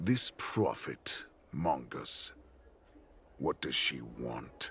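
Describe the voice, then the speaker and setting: Speaking at a very slow pace, a man puts on a character voice pitched very deep and low. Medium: video game. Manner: haughty, menacing.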